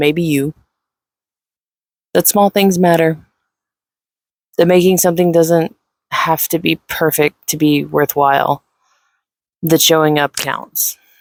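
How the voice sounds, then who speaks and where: This soft-spoken voice leaves long, frequent pauses. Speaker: video creator. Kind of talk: personal reflection. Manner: slow.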